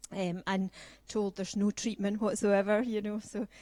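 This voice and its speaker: With a Scottish accent, a woman talks at a moderate pace in a medium pitch. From Scotland. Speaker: patient speaker. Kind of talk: personal testimony talk.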